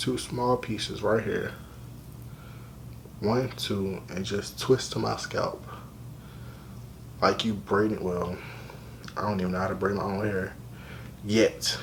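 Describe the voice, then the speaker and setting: With an American accent, a man with fairly low pitch talks at a fairly slow pace, using lively intonation and long, frequent pauses against noticeable background noise. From Richmond, Virginia. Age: 20s. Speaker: college student, hair vlogger. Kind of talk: casual hair tutorial talk to camera. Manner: casual, conversational.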